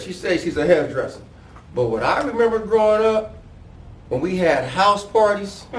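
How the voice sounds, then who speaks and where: A high-pitched man speaks with lively intonation. The recording has noticeable background noise and audible room echo. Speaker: podcast host. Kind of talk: interview.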